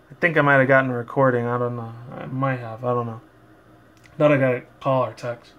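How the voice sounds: Fairly even intonation comes at a fairly quick pace. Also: man, medium pitch for a man.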